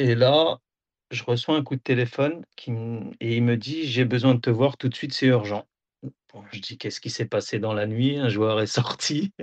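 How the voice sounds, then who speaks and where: A man's medium-pitched voice at a moderate pace, with ordinary pitch variation, against a quiet background. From France, Auxerre (Burgundy). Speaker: football video analyst and assistant coach. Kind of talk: interview. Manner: hesitant, many fillers.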